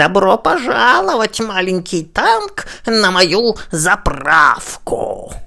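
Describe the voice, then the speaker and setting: A put-on character voice, female-sounding and medium in pitch, unfolds at a very slow pace. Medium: read story.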